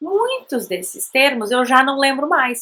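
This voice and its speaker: A woman with a Brazilian accent speaks in a raised, projected voice, high for a woman. Her pitch swings very widely. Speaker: language teacher, bilingual parenting educator. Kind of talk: educational talk to camera. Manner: conversational.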